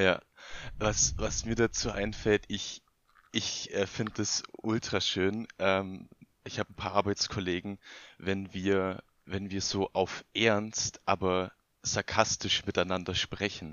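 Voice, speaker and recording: A man talks at a fairly low pitch and a very slow pace. His intonation stays flat and monotone. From Bavarian Swabia, near Augsburg. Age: 20s. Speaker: podcast guest. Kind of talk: casual chat.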